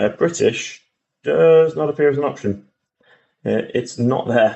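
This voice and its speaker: A moderate pace carries a man's words, spoken with an English accent. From England. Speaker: gaming YouTuber. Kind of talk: gameplay walkthrough commentary. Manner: casual, hesitant with fillers.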